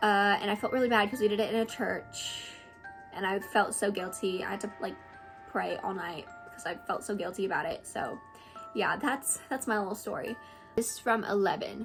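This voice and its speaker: Over music in the background, a woman speaks at a moderate pace in an animated tone with ordinary pitch variation. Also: medium pitch for a woman. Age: 20s. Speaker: content creator. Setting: at home.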